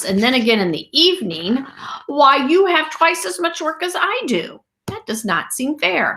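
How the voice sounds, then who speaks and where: A woman's squeaky, high put-on character voice with very wide pitch swings at a moderate pace. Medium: read story.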